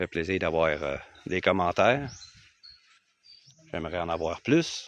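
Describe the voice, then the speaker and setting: This man, in a Quebec accent, speaks at a very slow pace with a very deep, low pitch. Long, frequent pauses and big swings in loudness run throughout. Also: ordinary pitch variation. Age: 60s. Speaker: retired expat vlogger. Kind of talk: casual vlog talk to camera. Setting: outdoors on his land. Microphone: phone microphone.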